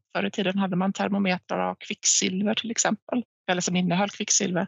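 A woman speaks at a medium pitch. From Finland, near Vaasa (Swedish-speaking Ostrobothnia). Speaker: head of sustainability at a recycling company. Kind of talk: interview. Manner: hesitant, with frequent repetitions.

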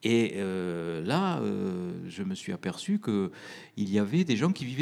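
A man's voice moves in very wide pitch swings in a very clean recording with a silent background. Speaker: anesthesiologist and author on near-death experiences. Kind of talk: interview talk with audience Q&A. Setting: stage with live audience.

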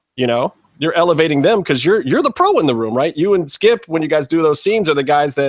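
An unremarkable speaking voice, this man talks at a fairly quick pace with lively intonation, recorded dry and close with no echo. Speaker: podcast host. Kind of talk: casual chat. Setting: video call.

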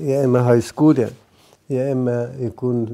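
A man with an Egyptian accent, medium pitch, and a fairly slow pace. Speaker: priest. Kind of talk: sermon.

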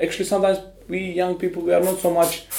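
A man speaks in a dark, mellow tone. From Romania. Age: 20s. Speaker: artist. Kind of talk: interview.

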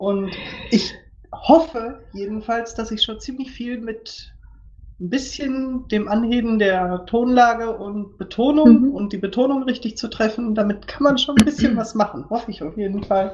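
In an ordinary speaking voice, a woman talks at a fairly slow pace and a fairly high pitch, with ordinary pitch variation and big swings in loudness. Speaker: podcast guest. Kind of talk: interview.

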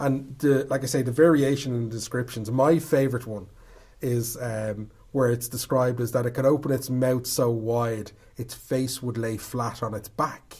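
A man with an Irish accent speaks at a moderate pace and medium pitch, somewhat breathy, with fairly even intonation. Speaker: storyteller. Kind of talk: casual chat.

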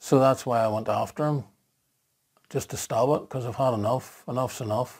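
On a very clean recording with a silent background, a man speaks with a Northern Irish accent. His pitch is medium and his intonation fairly even, at a moderate pace. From Northern Ireland. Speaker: marketing blogger. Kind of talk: personal vlog monologue.

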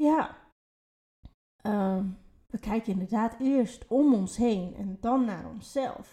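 With a fairly high pitch and a dark, mellow tone, a woman speaks in a somewhat breathy way at a very slow pace, with ordinary pitch variation and long, frequent pauses. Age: 30s. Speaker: podcast co-host, spiritual coach. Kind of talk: casual chat.

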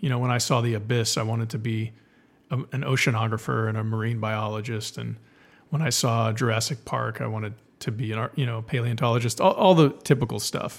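At a fairly quick pace, a man uses a normal speaking voice, pitched medium with ordinary pitch variation. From South Texas. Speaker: filmmaker. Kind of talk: interview.

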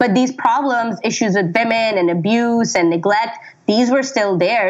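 A woman's voice moves through ordinary shifts in pitch as noticeable noise sounds behind her. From Pakistani Canadian. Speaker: writer. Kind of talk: casual chat.

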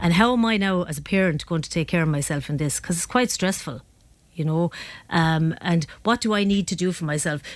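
A woman's fairly low voice with an Irish accent and ordinary pitch variation, on a very clean recording with a silent background. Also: fairly quick pace. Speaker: psychotherapist. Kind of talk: radio interview. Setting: studio.

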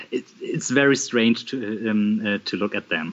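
Very slow delivery from a man, ordinary pitch variation throughout. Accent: German. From Germany, Bremen (northwest). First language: German. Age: 30s. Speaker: social worker and communist party member. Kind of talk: casual interview conversation. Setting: remote call. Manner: halting, many fillers.

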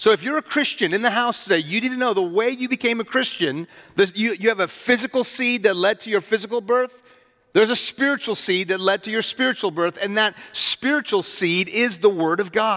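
A man's high-pitched, raised, projected voice in an animated tone, with a dry, close sound and no echo. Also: ordinary pitch variation, fairly quick pace. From US (Houston) with childhood in Iran. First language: Farsi. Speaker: pastor. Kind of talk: sermon. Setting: church.

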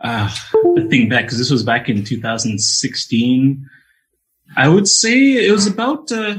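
A man speaks at a very slow pace with very wide pitch swings, music playing in the background. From Montreal, Canada, Jamaican family. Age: young. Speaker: orchestral double bass player. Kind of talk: radio interview. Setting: remote call into radio show.

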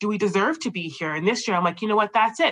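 Medium pitch and ordinary pitch variation in a woman's voice. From Canada. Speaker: accountant and firm co-owner. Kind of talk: casual interview conversation. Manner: talkative, outgoing.

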